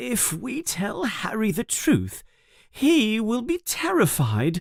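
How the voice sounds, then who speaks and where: In a put-on character voice, a female-sounding speaker goes at a very slow pace, pitched fairly high and making very wide pitch swings. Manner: nervous, worried.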